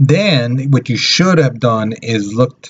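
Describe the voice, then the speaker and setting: A man at a fairly slow pace with ordinary pitch variation over light background noise. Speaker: teacher. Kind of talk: lecture. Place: home room. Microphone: webcam.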